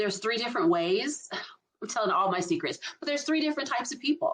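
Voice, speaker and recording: A voice with an American accent that swings very widely in pitch. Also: woman. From US South, Albany, Georgia. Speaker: leadership strategist. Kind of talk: casual chat. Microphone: poor quality internet backup recording.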